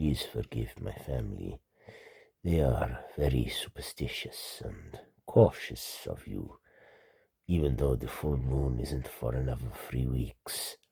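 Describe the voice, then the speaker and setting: A man puts on a character voice. His pitch is very deep and low, and his pace is fairly slow. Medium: read story.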